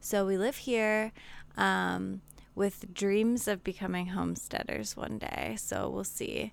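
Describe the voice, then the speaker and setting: In an American accent, a woman speaks at a very slow pace on a very clean recording with a silent background. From Pittsburgh area, Pennsylvania. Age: 20s. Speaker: podcast guest, mother. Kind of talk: casual chat.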